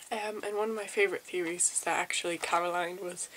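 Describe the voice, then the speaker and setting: Her intonation is monotone and flat. This woman speaks at a medium pitch. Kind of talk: ASMR game review. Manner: soft-spoken.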